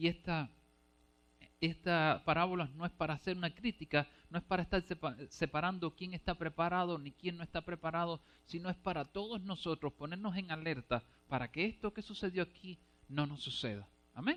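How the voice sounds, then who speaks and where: A high-pitched man talks at a fairly quick pace with ordinary pitch variation, in a dry, close sound with no echo. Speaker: preacher. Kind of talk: sermon. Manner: fast.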